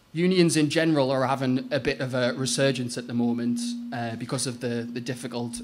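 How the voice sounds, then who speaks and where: A man with a medium-pitched voice is heard with audible room echo. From Northeast England. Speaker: trade union officer. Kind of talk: lecture. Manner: hesitant with fillers.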